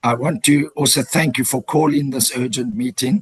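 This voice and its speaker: A somewhat breathy male voice, fairly high in pitch, with a dry, close sound and no echo. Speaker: member of parliament. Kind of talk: committee meeting.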